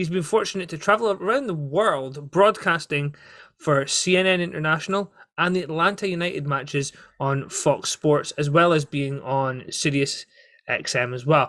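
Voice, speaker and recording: A man speaks at a moderate pace with a bright, sharp tone and lively intonation. The recording is very clean, with a silent background. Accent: Scottish. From Scotland. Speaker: wrestling podcast host. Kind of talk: solo podcast commentary.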